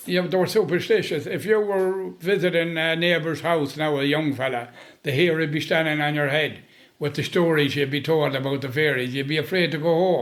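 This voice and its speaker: A man with a western Irish accent speaks at a fairly quick pace and a fairly high pitch, with ordinary pitch variation. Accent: rural west of Ireland. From Boyle, County Roscommon, Ireland. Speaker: storyteller. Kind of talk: interview answer. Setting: kitchen chat over tea.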